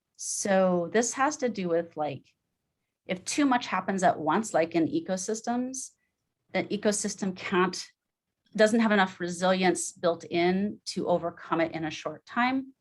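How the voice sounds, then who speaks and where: A woman's plain, everyday voice at a medium pitch, fairly slow, with lively intonation. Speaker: club member presenter. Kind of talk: short presentation. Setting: video call.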